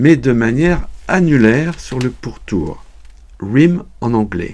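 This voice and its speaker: Very slow speech from a man at a medium pitch, with very wide pitch swings. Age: 70s. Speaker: sport shooter, retired English teacher. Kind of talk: scripted explanation. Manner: formal.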